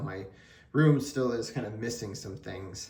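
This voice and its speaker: Mumbling at a moderate pace, a man with a somewhat breathy, medium-pitched voice shows ordinary pitch variation amid audible room echo. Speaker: sports card collector YouTuber. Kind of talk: casual vlog. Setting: home card room on camera.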